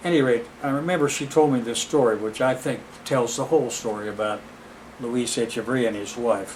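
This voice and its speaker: At a fairly quick pace and with ordinary pitch variation, the voice carries audible room echo over noticeable background noise. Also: man. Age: 70s. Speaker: lecturer. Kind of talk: lecture. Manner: halting.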